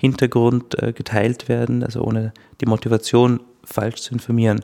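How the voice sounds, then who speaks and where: A man talks at a moderate pace with a Styrian accent. His medium-pitched voice has a dark, mellow tone. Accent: Austrian German (Styrian). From Austria, Styria. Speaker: legal scholar, media law researcher. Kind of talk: interview, expert explanation.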